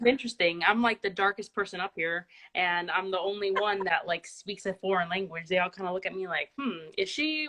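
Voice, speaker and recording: Her tone is bright and sharp, at medium pitch for a woman. She speaks at a moderate pace. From Miami, Cuban family. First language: Spanish. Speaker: student ministry leader. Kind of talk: casual interview.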